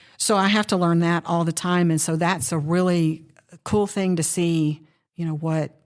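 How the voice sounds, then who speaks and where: This is a woman with a plain, everyday voice. Her pitch sits fairly low. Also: fairly even intonation, moderate pace, very clean recording, silent background. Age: 60s. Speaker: law enforcement educator, budgeting course teacher. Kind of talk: casual chat. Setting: podcast interview.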